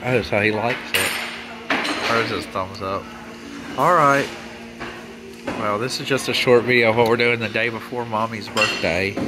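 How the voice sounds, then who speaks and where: Loud background noise fills the clip. A man talks at a moderate pace. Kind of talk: casual vlog chat. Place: cafe. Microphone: phone near.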